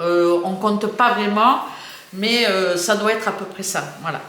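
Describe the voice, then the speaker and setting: A woman speaks at a very slow pace with medium pitch and fairly even intonation, amid noticeable background noise and audible room echo. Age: 60s. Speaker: YouTuber. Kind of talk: casual chat. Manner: halting.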